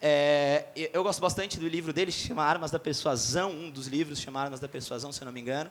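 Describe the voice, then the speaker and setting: Animated in tone, a man speaks at a fairly quick pace with ordinary pitch variation. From Florianópolis, Brazil. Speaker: sales company CEO, conference speaker. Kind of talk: conference talk. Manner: fast.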